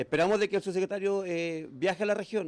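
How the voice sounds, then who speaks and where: The voice belongs to a man. Ordinary pitch movement runs through it. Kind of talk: interview answer. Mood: serious, aggrieved. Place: office. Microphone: handheld.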